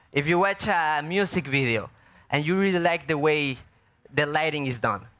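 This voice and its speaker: A bright, sharp tone in a Mexican accent at a moderate pace, with ordinary pitch variation, very even loudness and a very clean recording over a silent background. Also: man, fairly high pitch for a man. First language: Spanish. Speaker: artist and filmmaker. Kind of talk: panel Q&A. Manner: halting.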